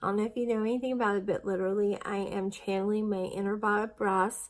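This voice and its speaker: A woman talks at a moderate speed, her intonation fairly even, with quiet surroundings. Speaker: weight-loss vlogger. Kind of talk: casual vlog chat. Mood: chatty, occasional laughs. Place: home room. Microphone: phone near.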